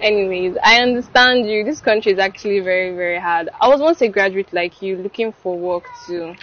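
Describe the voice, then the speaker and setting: A woman talks at a fairly quick pace with hardly any pauses and ordinary pitch variation. The sound is dry, with no echo. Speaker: actress in a skit. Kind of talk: scripted drama dialogue. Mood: kind, mildly teasing. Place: street.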